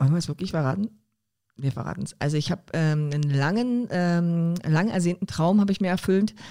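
On a very clean recording with a silent background, a woman talks at a fairly quick pace. Her fairly low voice has a dark, mellow tone and ordinary pitch variation. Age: 40s. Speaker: professional athlete and coach. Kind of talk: casual chat.

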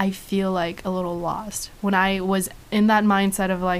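A woman talks at medium pitch with monotone, flat intonation. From China. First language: Chinese. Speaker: student photographer and actor. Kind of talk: casual interview. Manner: halting.

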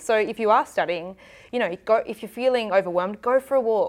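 Against a quiet background, a woman with an Australian accent talks fairly quickly at a fairly high pitch with ordinary pitch variation. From South Australia, Adelaide. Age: 20s. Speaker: TV journalist. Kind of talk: casual interview.

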